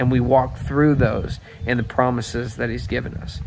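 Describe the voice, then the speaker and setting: Amid noticeable background noise, a man speaks at a moderate pace with fairly even intonation. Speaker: pastor. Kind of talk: devotional talk and scripture reading. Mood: calm, reflective. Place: garden. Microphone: phone near.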